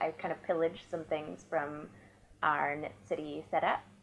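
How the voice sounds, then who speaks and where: This woman speaks with a Canadian accent at a moderate pace. Her pitch is very deep and low. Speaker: knitting podcaster and designer. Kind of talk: casual monologue.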